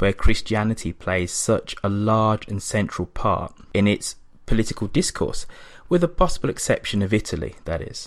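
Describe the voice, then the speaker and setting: Moderate-paced speech in an English accent, on a very clean recording with a silent background. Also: man. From England. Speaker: podcast host, guest interviewer. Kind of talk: interview discussion on politics. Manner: hesitant with fillers.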